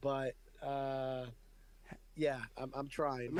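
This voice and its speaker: A man with a New York accent speaks at a fairly high pitch. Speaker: radio personality, podcast host.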